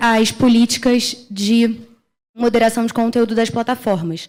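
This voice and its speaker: The speaker has a Brazilian accent. The intonation stays fairly even. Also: woman. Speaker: internet policy researcher. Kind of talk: conference panel talk. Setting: conference stage with audience.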